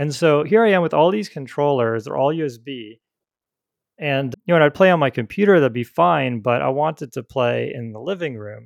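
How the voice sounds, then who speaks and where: With an ordinary speaking voice, a man talks at a fairly quick pace in a fairly high pitch, with lively intonation and big swings in loudness, in a dry, close sound with no echo against a quiet background. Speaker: podcast host. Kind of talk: casual chat. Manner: relaxed, talkative.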